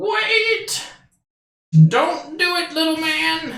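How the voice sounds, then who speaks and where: The speaker uses a put-on character voice with a high pitch. A slight echo can be heard. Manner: urgent, pleading.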